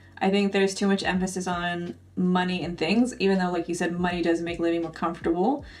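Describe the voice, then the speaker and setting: A woman with a fairly low voice speaks very fast, barely pausing, her intonation fairly even. Music plays in the background and the room echo is audible. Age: 30s. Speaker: podcast host. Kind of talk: casual podcast chat.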